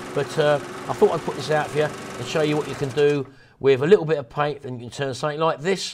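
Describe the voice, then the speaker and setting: At a very fast pace and fairly high pitch, a man talks over noticeable background noise. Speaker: restoration youtuber. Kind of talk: tutorial.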